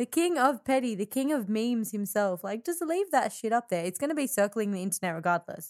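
A woman with an Australian accent speaks at a fairly quick pace, her pitch swinging very widely. The recording is very clean, with a silent background and a dry, close sound with no echo. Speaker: podcast co-host and musician. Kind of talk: casual chat.

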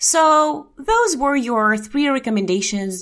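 A woman with a Russian accent speaks very slowly in a bright, sharp tone, her pitch swinging very widely, on a very clean recording with a silent background. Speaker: health podcast host. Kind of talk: educational podcast monologue.

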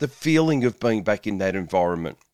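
Speaking with an Australian accent, a man talks at a fairly quick pace. The recording is very clean with a silent background and a dry, close sound with no echo. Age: 50s. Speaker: podcast host, nutritionist and police officer. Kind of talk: solo podcast monologue.

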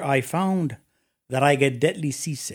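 A man's fairly high voice with a Spanish accent, ordinary pitch variation and a moderate pace, on a very clean recording with a silent background. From Mexico City. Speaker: business executive. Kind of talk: interview.

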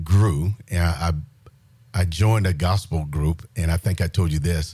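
This man's voice is very deep and low in pitch, somewhat breathy, and shows ordinary pitch variation. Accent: South Carolina. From US South, rural South Carolina. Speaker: military retiree sharing faith testimony. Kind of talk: testimony.

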